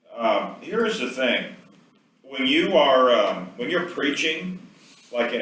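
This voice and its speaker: Audible room echo surrounds a man as he talks. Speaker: professor. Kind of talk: lecture.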